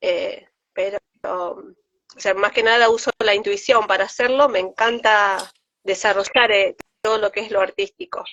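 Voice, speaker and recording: With ordinary pitch variation, a woman takes her words at a fairly slow pace. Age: 40s. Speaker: teacher. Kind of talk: testimony.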